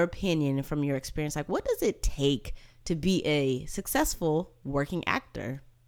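With hardly any pauses, a woman in an ordinary speaking voice talks at a moderate pace, fairly low in pitch. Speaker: podcast host. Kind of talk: casual interview. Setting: remote call.

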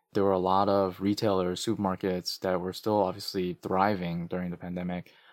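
Speaking fairly quickly in an American accent, a man with a very deep, low voice comes through a very clean recording with a silent background and a dry, close sound with no echo. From New York (Queens, Flushing). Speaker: nonprofit chief executive. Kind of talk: interview.

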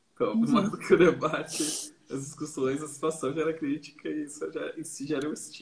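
Over noticeable background noise, a man talks at a fairly quick pace with hardly any pauses. His voice is fairly high, with ordinary pitch variation. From Brazil, São Paulo area (Barueri). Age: 30s. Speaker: artist. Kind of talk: casual chat. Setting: online live stream.

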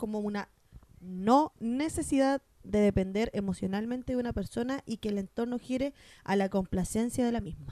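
A woman speaks with a Chilean accent in a fairly high, dark and mellow voice. The sound is dry and close with no echo, and her pace is moderate. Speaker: podcast co-host. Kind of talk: casual chat.

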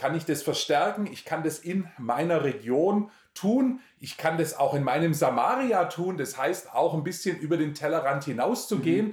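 A man with a fairly high pitch speaks at a moderate pace with hardly any pauses. His is an unremarkable speaking voice, and his intonation is lively. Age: 40s. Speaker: missionary and Bible teacher. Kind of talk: interview, personal testimony and Bible teaching.

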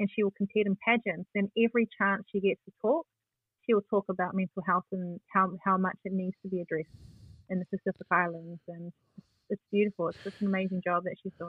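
In a New Zealand accent, a woman delivers her words at a fairly quick pace, at a medium pitch and in a flat monotone. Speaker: community advocate and youth radio presenter. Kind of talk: interview conversation. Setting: at home.

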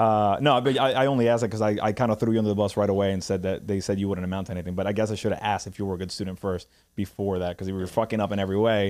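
At a very fast pace with hardly any pauses, a man speaks in a fairly low pitch with fairly even intonation. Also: very clean recording, silent background. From Puerto Rico. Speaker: podcast host. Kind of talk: casual chat.

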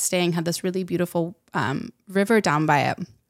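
A woman with a fairly low pitch and fairly even intonation talks at a moderate pace on a very clean recording with a silent background. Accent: American. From Utah, US. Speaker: regenerative designer and author. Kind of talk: casual chat.

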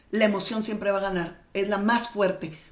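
At a moderate pace, a woman of medium pitch speaks with audible room echo. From Mexicali, Baja California, Mexico. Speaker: manifestation and mindset coach. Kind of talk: interview.

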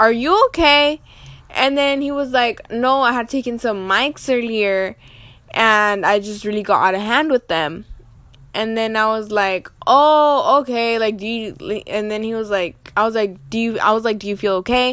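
Speaking fairly slowly, a woman with a fairly high voice sounds animated, her pitch moving in an ordinary way. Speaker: podcast host. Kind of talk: casual storytime monologue.

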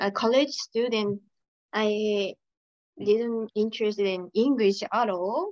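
With a Japanese accent, a woman with fairly high pitch speaks at a very slow pace with fairly even intonation, in a dry, close sound with no echo. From Saitama, Japan. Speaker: pharmacy clerk and YouTuber. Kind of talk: casual interview chat.

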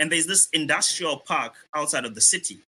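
Bright and sharp in tone, a man talks at a moderate pace in a very clean recording with a silent background. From Zimbabwe. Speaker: author. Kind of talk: panel discussion.

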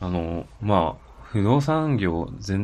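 A man with a very deep, low voice. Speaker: podcast co-host. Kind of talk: casual chat.

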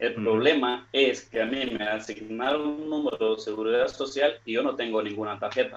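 A man with a normal speaking voice talks at a fairly quick pace, medium in pitch, his intonation fairly even and hardly any pauses breaking his speech. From Nicaragua. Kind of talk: question on live stream.

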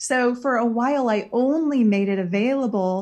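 Against a quiet background, a woman with an American accent speaks in a fairly high pitch with ordinary pitch variation. Her voice is somewhat breathy, with a dark, mellow tone. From Iowa, US Midwest. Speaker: spiritual healer and shaman. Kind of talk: casual interview.

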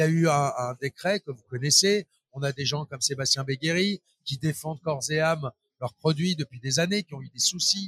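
At a fairly high pitch, a man speaks at a moderate pace with ordinary pitch variation. The sound is dry and close, with no echo. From Paris suburbs, France. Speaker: trade show organizer. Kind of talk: interview. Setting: trade show floor. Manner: hesitant with repetitions.

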